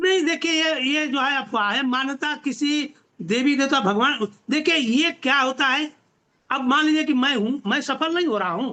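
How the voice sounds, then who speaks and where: A man speaks at an extremely high pitch. His voice is raised and projected. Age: 70s. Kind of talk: video interview discussion. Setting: video call.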